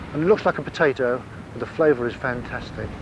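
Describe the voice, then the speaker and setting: Over noticeable background noise, a man with a southern English accent talks at a very fast pace in a medium pitch with ordinary pitch variation. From Kent, England. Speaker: apple grower. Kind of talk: documentary interview talk. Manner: relaxed, conversational.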